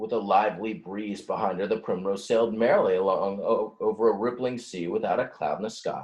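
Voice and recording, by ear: Someone is reading aloud. It's in a natural voice.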